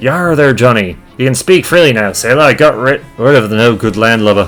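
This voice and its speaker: A man does a gruff, put-on character voice at a medium pitch and a fairly quick pace. Faint music plays in the background. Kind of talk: pirate speech. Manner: gruff, muttering.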